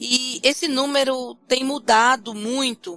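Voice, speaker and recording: Her pitch sits high. This woman keeps a fairly even intonation. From Brazil, Fortaleza (Ceará). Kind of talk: interview.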